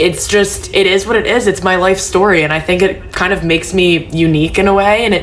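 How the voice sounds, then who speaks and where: A woman speaks with fairly even intonation. Audible room echo and noticeable background noise are present. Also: fairly quick pace. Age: 20s. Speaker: social media creator. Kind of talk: personal vlog monologue. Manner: casual, filler-heavy.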